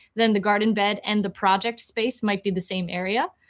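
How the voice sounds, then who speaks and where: Speaking at a fairly quick pace, a woman uses a fairly high pitch and fairly even intonation. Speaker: software tutorial host. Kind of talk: tutorial. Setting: livestream screen share. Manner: hesitant, many fillers.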